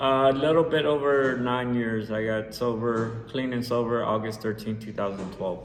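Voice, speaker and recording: In an American accent, a man talks at a moderate pace and medium pitch with ordinary pitch variation and hardly any pauses, amid audible room echo and noticeable background noise. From San Jose, California. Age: 40s. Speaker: recovering addict sharing his story. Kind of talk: personal testimony. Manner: halting, many fillers and repeats.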